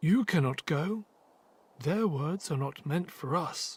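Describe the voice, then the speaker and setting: A put-on character voice at a middle pitch and fairly slow pace, on a very clean recording with a silent background. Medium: video game.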